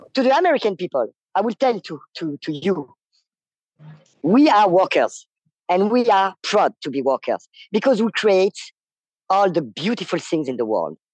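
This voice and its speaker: With a French accent, this speaker talks at a moderate pace, leaving long, frequent pauses. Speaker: striking worker. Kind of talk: interview. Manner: halting.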